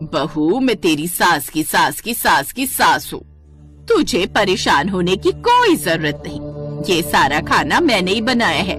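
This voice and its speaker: A woman puts on a character voice at medium pitch and a moderate pace. Clear music plays in the background. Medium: read story.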